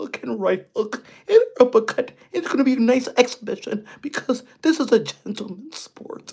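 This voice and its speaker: A female-sounding voice, calm in tone, puts on a character voice with a high pitch. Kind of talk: formal, gentlemanly. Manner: calm, proper, mocking.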